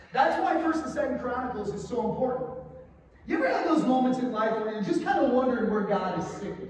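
A man talks at a very fast pace with an extremely high pitch and lively intonation. Strong room echo and light background noise surround his voice. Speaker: pastor. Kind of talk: sermon. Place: church.

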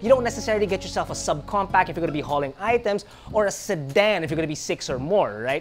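Clear music plays in the background as a man rushes through his words at a very fast pace. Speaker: show host. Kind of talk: commentary. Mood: humorous, joking. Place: studio.

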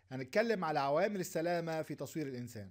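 On a very clean recording with a silent background, a man with an Egyptian accent speaks at a moderate pace, his pitch fairly high and his intonation lively. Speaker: lecturer. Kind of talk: lecture.

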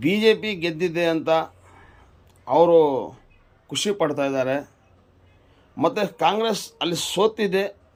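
Recorded very cleanly against a silent background, a man speaks in a high pitch with ordinary pitch variation. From Karnataka, Kolar district. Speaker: local political commentator. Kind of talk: political monologue to camera.

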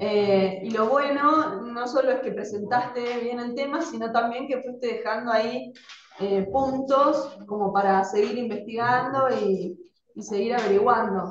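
Fairly slow speech from a woman with an Argentine accent, fairly high pitch, ordinary pitch variation, audible room echo and light background noise. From Argentina. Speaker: teacher. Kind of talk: casual chat. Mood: grateful, warm. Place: classroom. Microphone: camera far.

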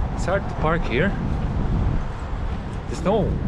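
Loud background noise under a man speaking at a moderate pace. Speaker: travel vlogger. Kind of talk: casual vlog chat. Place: street. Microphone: phone near.

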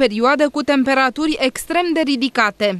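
Heard in a dry, close sound with no echo, a woman with a high pitch speaks with lively intonation. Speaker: news reporter. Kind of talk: scripted narration.

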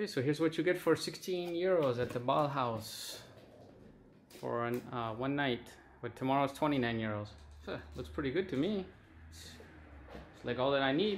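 Pitch swings very widely and loudness shifts a lot, at a moderate pace broken by long, frequent pauses. Light background noise sits behind the voice. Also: man. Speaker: travel vlogger. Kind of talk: casual vlog chat. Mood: pleased about cheap price. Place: home room. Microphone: phone near.

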